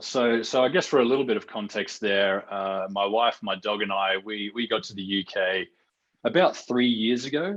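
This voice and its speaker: With an Australian accent, a man talks at a fairly slow pace, with a medium pitch and ordinary pitch variation. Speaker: real estate researcher. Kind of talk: podcast interview.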